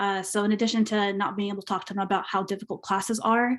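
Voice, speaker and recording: The recording is very clean with a silent background. Delivery is very fast and monotone, with flat intonation. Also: woman. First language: Spanish. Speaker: alumni panelist. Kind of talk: panel discussion. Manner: halting.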